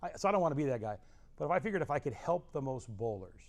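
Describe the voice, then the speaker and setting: This man talks at a very fast pace with an American accent. His pitch sits in the medium range. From Southern California. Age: 60s. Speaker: bowling coach. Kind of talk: casual chat. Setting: bowling training center.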